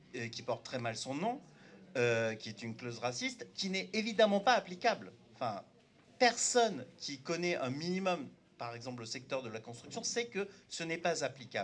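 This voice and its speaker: This man's voice is fairly high, and his pitch swings very widely. He keeps a moderate pace. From France, Turkish immigrant family, arrived at age seven. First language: Turkish (speaking French). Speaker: panel debate speaker. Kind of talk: public panel debate. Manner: halting, many hesitations.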